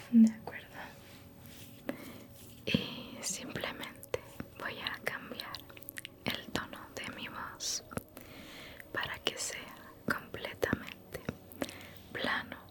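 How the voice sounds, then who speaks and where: Whispering at a very slow pace, full of long, frequent pauses, against noticeable background noise. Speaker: ASMR creator. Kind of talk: ASMR roleplay, personal attention. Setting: close to microphone. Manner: whispered, soft.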